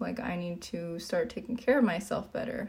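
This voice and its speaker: A woman speaks with noticeable noise in the background. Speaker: fitness coach and streamer. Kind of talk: casual livestream Q&A.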